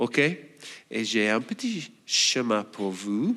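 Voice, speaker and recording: Speaking with an Australian accent, a man swings his pitch very widely on a very clean recording with a silent background. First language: English (speaking French). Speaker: church elder and preacher. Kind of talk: sermon.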